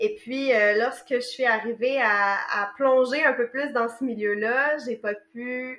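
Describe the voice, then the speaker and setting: A woman with a Quebec accent speaks at a fairly high pitch with ordinary pitch variation. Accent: Québécois French. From Quebec, Montreal. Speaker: massage therapist. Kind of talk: casual interview. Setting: remote call.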